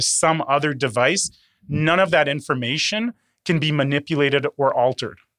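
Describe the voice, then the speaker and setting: A man speaks in a normal speaking voice with a Canadian accent. His pitch is fairly high, his pace moderate and his pitch variation ordinary. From Canada, Toronto. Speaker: cybersecurity company co-founder. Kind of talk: interview. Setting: studio.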